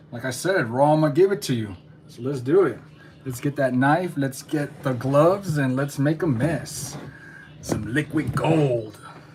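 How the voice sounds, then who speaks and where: Music plays in the background while an animated voice speaks at a fairly slow pace. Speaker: beekeeper. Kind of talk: casual tutorial. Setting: home kitchen. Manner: usually too quiet, trying to be louder; casual, animated.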